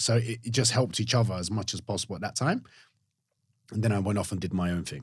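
The man talks very fast in a fairly low, somewhat breathy voice with ordinary pitch variation and long, frequent pauses, captured in a very clean recording with a silent background. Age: 30s. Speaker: online fitness coach. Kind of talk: casual chat.

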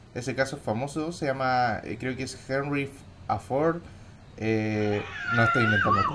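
Against noticeable background noise, a man of medium pitch speaks at a fairly slow pace with long, frequent pauses. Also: ordinary pitch variation. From Chile, Temuco area. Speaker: podcast co-host. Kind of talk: casual chat.

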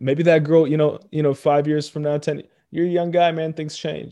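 Over a very clean recording with a silent background, a man with a fairly high pitch and a dark, mellow tone speaks at a moderate pace. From Ethiopia. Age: 20s. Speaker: podcast host. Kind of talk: casual chat. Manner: casual, joking.

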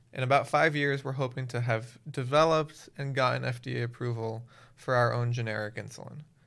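A plain, everyday voice with an American accent, speaking at a fairly quick pace with fairly even intonation. The recording is very clean, with a silent background. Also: man, medium pitch for a man. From Miami, Florida. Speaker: nonprofit founder. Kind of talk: casual interview.

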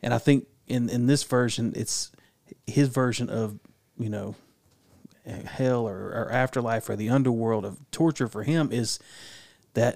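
Fairly even intonation carries this man's normal speaking voice at a medium pitch. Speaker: podcast co-host. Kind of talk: casual chat.

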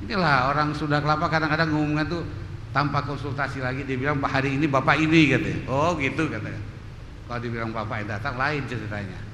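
This man talks very fast at a fairly high pitch with ordinary pitch variation. Room echo is audible, and there is noticeable background noise. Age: 60s. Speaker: mosque study moderator. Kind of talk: event hosting remarks. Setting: mosque.

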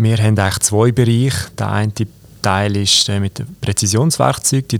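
A man talks in an unremarkable speaking voice at fairly low pitch. His pace is moderate and his intonation fairly even. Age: 20s. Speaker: company executive and cantonal politician. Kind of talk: interview. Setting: company office.

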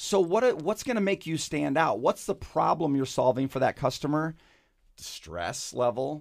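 Captured on a very clean recording with a silent background, a man with an American accent and an ordinary speaking voice speaks at a fairly slow pace and a fairly high pitch with lively intonation. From Michigan. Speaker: marketing consultant, former business executive. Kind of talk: radio interview. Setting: studio.

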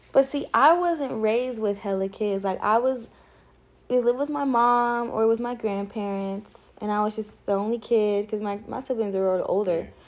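This woman has an ordinary speaking voice, a fairly high pitch with ordinary variation, and a moderate pace. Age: 20s. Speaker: podcast co-host. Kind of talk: casual chat.

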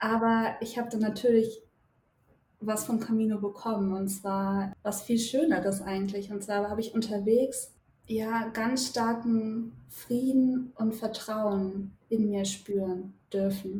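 A woman speaks at a very slow pace with a fairly high pitch. Her intonation is flat and monotone. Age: 20s. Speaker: psychologist and pilgrim. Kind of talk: podcast interview.

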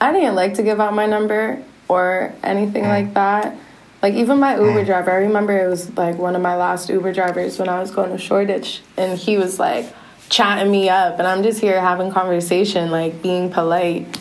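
A woman at medium pitch talks at a fairly quick pace with fairly even intonation over noticeable background noise.

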